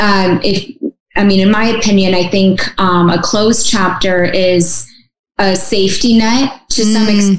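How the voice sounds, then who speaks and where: At a fairly slow pace, a woman speaks at medium pitch with very even loudness. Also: ordinary pitch variation. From Russia, raised in small-town Michigan. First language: Russian. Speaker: adoptee advocate. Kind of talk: interview. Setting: video call.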